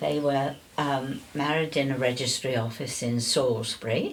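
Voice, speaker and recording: Spoken fairly slowly, the speech shows ordinary pitch variation and carries audible room echo. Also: woman. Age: 80s+. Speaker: older interviewee sharing life story. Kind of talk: casual interview.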